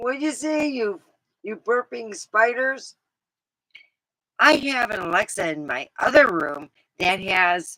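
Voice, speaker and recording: A woman's bright, sharp voice with very wide pitch swings, a very slow pace and long, frequent pauses, in a dry, close sound with no echo. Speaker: livestreamer. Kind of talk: casual chat. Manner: rambling, animated.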